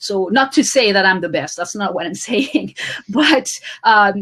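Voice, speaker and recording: Speaking in a French accent, a woman uses a medium pitch and lively intonation. Her pace is fairly slow. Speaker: author and social media coach. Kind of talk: interview.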